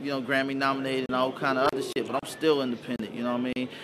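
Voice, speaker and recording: A man's medium-pitched, flat, monotone voice at a very fast pace, over noticeable background noise. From US South, Montgomery, Alabama. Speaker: hip-hop producer and rapper. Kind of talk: interview. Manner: casual, filler-heavy.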